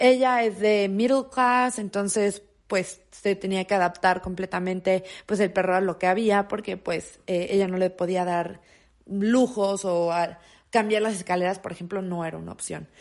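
A woman speaks with a Mexican accent at a medium pitch. Her pace is fairly slow against a quiet background. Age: 20s. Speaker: podcast host. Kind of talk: casual monologue. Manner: animated.

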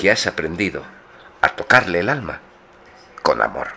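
This is a man speaking. Vocal fry runs through his voice. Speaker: co-host of poetry radio show. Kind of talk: poetry reading; casual chat.

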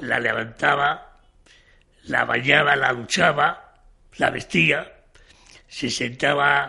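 Bright and sharp in tone, a man's fairly high voice moves at a very slow pace with long, frequent pauses. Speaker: retired shop manager. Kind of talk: interview testimony. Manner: halting.

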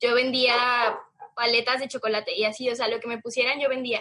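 A woman's high-pitched voice at a moderate pace, flat and monotone in intonation. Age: 20s. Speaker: marketing student and small business founder. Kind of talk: casual interview.

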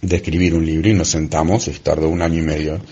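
A man speaks very fast with an Argentine accent. Noticeable background noise runs under his voice. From Argentina. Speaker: travelling magician, former systems engineer. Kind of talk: recorded monologue.

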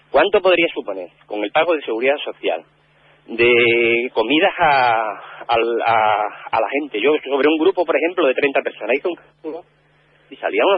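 A man with an ordinary speaking voice, fairly high in pitch, at a moderate pace with lively intonation. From Cáceres, Extremadura, Spain. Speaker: neighbourhood community organiser. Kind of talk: radio interview.

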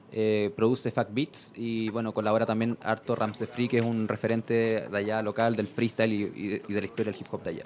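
In a Chilean accent, a man talks at a fairly quick pace with monotone, flat intonation. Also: medium pitch for a man. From southern Chile, La Unión. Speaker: hip hop blogger. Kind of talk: casual chat.

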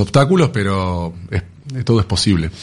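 Delivered at a fairly slow pace, this is an unremarkable speaking voice. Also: man. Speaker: business partner of a retail company. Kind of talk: radio interview.

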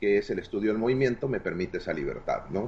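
A man's voice, somewhat breathy, with ordinary pitch variation. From Mexico, Hermosillo, Sonora. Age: 40s. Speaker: martial arts instructor. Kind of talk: interview.

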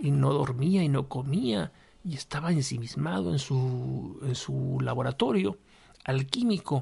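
The pitch of this man's voice is medium. His delivery is fairly slow. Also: lively intonation. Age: 40s. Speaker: podcast host. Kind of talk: solo monologue podcast, reflective talk. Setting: home studio with microphone and lamp. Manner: halting, many repetitions and fillers.

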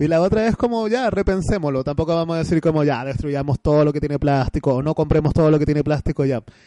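A man's fairly high voice at a very fast pace with hardly any pauses, ordinary pitch variation, and a dry, close sound with no echo. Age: 30s. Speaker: online radio host. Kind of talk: casual chat.

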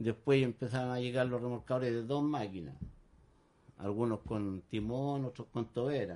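In a Chilean accent, a man speaks at a moderate pace with a medium pitch, a dark, mellow tone and ordinary pitch variation. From Chile, San Antonio. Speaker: tugboat deckhand. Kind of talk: radio interview.

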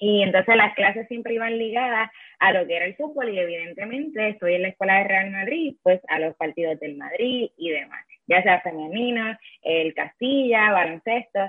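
A woman's ordinary speaking voice at medium pitch, with lively intonation and a moderate pace. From Puerto Rico, Yabucoa. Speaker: sports journalist. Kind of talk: interview.

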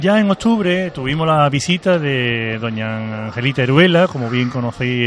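Noticeable background noise runs under this recording. A man speaks at a medium pitch. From Seville, Andalusia. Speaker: local radio host. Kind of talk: radio interview. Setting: live broadcast from a tavern. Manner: hesitant, many fillers.

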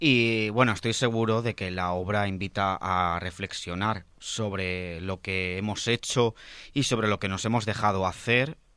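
A normal speaking voice, a man's, fairly low in pitch with ordinary pitch variation and a fairly slow pace, in a very clean recording with a silent background. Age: 20s. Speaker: radio theatre section presenter. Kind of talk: radio interview and arts news.

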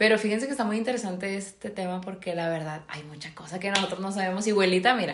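There is audible room echo and noticeable background noise. Through it, a woman speaks in an animated tone at a medium pitch. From Monterrey, Mexico. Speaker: podcast co-host. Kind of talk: casual chat. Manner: animated, frequent laughter.

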